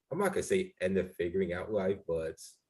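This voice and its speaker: A man's somewhat breathy voice, fairly low in pitch and dark and mellow in tone, at a fairly quick pace. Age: 30s. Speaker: podcast host. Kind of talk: casual chat. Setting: video call.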